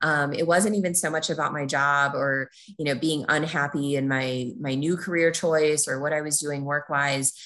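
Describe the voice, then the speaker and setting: A woman's very deep, low voice with an American accent, fairly even intonation and hardly any pauses. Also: moderate pace. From Minnesota, US Midwest. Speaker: former lawyer turned fundraiser, traveler. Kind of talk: interview, casual chat.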